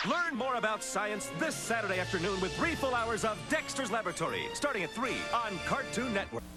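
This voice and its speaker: Over background music, a man projects a raised, high-pitched voice at a moderate pace, with very wide pitch swings. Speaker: TV network announcer. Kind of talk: TV channel promo read. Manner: energetic.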